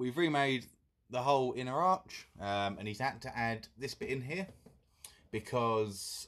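Lively intonation marks this man's speech. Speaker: car restoration vlogger. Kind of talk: casual vlog chat. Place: garage. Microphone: phone near.

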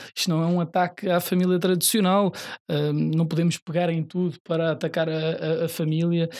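A man with a normal speaking voice, fairly high pitch, very even loudness and a moderate pace, on a very clean recording with a silent background. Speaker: party youth politician. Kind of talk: political debate.

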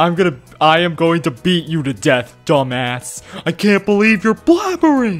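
Over faint background music, a man puts on a gruff character voice, high-pitched for a man, and speaks at a fairly slow pace. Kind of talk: comic overacting. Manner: gruff, aggressive.

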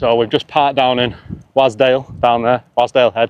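A man's voice at a moderate pace, clear and smooth in tone, with little pitch movement

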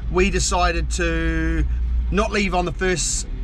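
Light background noise sits behind a man's voice. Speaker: father travel vlogger. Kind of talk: casual vlog chat. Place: car. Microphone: phone near.

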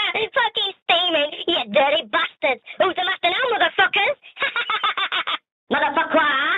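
In a cartoonish character voice pitched extremely high, the speaker moves at a moderate pace with long, frequent pauses. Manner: excited, crude, mocking.

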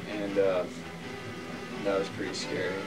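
A man's voice over clear background music. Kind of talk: casual anecdote to camera crew. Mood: deadpan, halting storytelling. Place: home room. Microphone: old recording.

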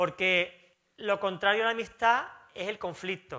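A man's raised, projected voice, high-pitched with a bright, sharp tone, at a fairly slow pace with ordinary pitch variation against a quiet background. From Spain. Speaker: pastor; pastor preaching. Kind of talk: sermon. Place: church.

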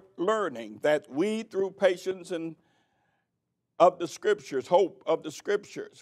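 A high-pitched man talking at a fairly slow pace against a quiet background. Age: old. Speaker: preacher. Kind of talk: sermon. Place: church. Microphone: podium.

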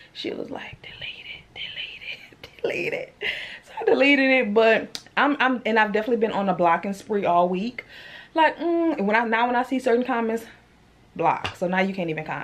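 Her loudness swings widely as a woman talks at a fairly quick pace. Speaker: vlogger. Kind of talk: casual vlog chat. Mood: animated, a bit irritated. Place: home room. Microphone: phone near.

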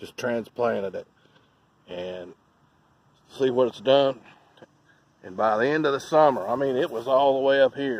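A man at a moderate pace, dry sound with no echo, ordinary pitch variation, long, frequent pauses and big swings in loudness. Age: old. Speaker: lawn care business owner. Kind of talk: tutorial. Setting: outdoors. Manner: casual, folksy. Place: garden. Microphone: phone near.

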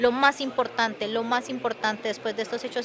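A woman at a very fast pace, monotone, flat intonation, noticeable background noise. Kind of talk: press statement answer. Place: hall. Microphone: handheld.

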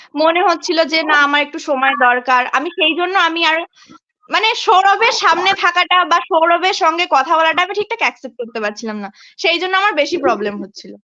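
Raising and projecting her voice, a woman speaks at an extremely high pitch with a bright, sharp tone and lively intonation. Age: 20s. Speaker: social media creator. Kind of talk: live video chat, personal testimony.

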